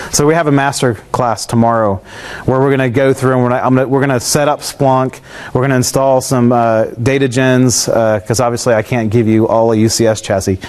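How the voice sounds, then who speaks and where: Over noticeable background noise, a man speaks at a fairly quick pace with a medium pitch. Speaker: tech presenter. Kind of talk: technical presentation with live demo. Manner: fast; casual with many fillers.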